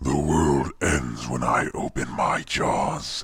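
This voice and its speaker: A man speaks in a put-on character voice, raspy and at a very deep, low pitch. His pace is very slow, with light background noise. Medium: voice reel. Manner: commanding, menacing.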